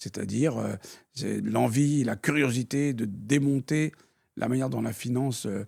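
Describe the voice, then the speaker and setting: On a very clean recording with a silent background, the voice has vocal fry, ordinary pitch variation and a moderate pace. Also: man. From France (born in Algeria, raised in France). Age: 60s. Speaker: retired banker and city politician, blind. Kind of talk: interview.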